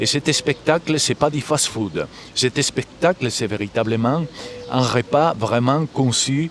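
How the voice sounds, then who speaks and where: Noticeable background noise runs beneath a man's voice. He speaks at a very slow pace with ordinary pitch variation. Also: medium pitch for a man. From Galicia, Spain. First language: Galician (speaking French). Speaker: musician and composer. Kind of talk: interview. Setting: live at a festival.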